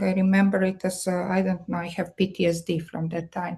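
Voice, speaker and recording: Somewhat breathy and dark, mellow in tone, a woman with a Serbian accent speaks at a moderate pace and a medium pitch. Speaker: marketing strategist. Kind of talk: guest talk. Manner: hesitant, many fillers.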